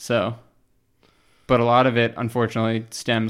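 Speaking in a flat, monotone way with vocal fry, a man with an American accent uses a medium pitch on a very clean recording with a silent background. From Pennsylvania. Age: 30s. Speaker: transportation planner. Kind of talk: casual chat.

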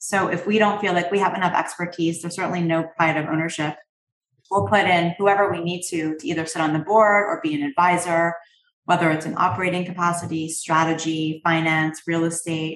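Speaking with a slight Canadian accent, a woman talks at a fairly quick pace in a fairly low pitch with fairly even intonation. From Canada. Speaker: private equity investor. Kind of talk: interview.

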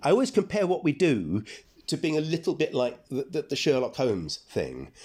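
Heard in a very clean recording with a silent background, a dark, mellow voice with a London accent makes very wide pitch swings. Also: man. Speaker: archaeologist and professor. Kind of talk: interview. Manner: halting.

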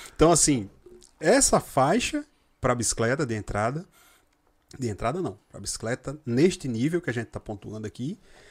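At a moderate pace, a man speaks at medium pitch with lively intonation. His loudness swings widely, and long pauses come often. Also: dry, close sound with no echo. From Rio Grande do Norte, Brazil. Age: 40s. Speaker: cycling sales representative. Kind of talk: casual chat.

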